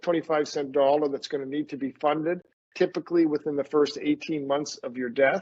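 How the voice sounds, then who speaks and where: A man's normal speaking voice, fairly high in pitch, in a Canadian accent at a fairly quick pace, with a dry, close sound and no echo. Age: 60s. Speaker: estate and trust lawyer. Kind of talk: webinar presentation.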